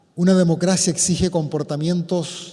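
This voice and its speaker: A man speaks in a high pitch at a fairly slow pace, his intonation fairly even. Noticeable background noise sits behind him. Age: 70s. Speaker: priest. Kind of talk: public talk. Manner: formal.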